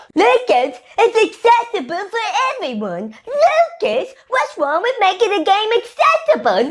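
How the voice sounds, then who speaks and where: This put-on character voice is extremely high and whiny, with a whiny tone, very wide pitch swings and a moderate pace. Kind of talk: sarcastic. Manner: mocking, whiny.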